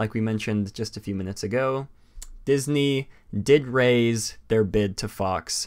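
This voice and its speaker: This man's medium-pitched voice, with ordinary pitch variation, is heard on a very clean recording with a silent background. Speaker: livestream podcast host. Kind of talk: casual live stream chat. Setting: live stream. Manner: fast; halting, many fillers.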